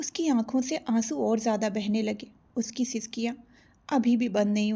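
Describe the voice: Fairly even intonation in plain reading aloud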